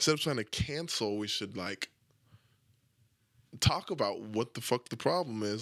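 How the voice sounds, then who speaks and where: A man's fairly low, mumbling voice with ordinary pitch variation on a very clean recording with a silent background. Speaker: podcast host. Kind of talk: casual monologue. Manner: talks without moving lips.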